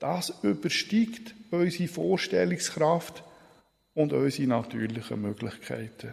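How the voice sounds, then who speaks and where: Very slowly and with long, frequent pauses, a man speaks at fairly high pitch, his voice swinging very widely in pitch. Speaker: preacher. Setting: church. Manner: formal, solemn and measured, with a warm pastoral tone.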